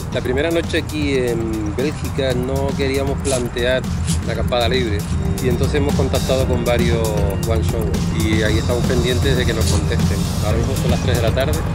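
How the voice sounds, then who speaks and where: A man at a fairly quick pace over loud background music, in a dry sound with no echo. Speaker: touring cyclist vlogger. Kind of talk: casual vlog chat. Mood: cheerful, joking. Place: bicycle. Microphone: phone near.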